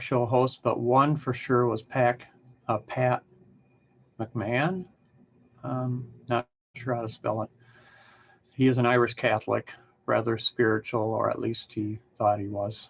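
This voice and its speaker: A man's medium-pitched, somewhat breathy voice at a fairly slow pace, with fairly even intonation and long, frequent pauses. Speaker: public speaker. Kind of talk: casual talk to camera. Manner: hesitant, conversational.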